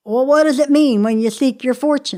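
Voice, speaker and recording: A woman's high-pitched, put-on character voice. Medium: read story. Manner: mournful, slow.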